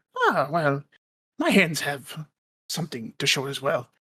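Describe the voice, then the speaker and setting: Middle-pitched, moderately paced put-on character voice. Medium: actual play. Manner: measured, somber.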